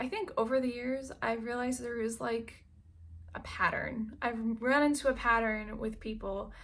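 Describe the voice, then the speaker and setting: An ordinary speaking voice from a woman with an American accent, fairly high and fairly even, at a fairly quick pace. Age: 30s. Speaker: lifestyle vlogger. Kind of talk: casual vlog monologue.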